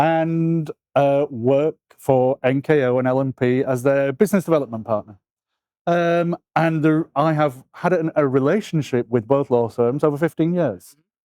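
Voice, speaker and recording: A man with a British accent speaks at a moderate pace in a fairly high pitch with a dark, mellow tone and very even loudness, the sound dry and close with no echo. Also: ordinary pitch variation. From UK. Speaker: law firm business development partner. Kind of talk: interview.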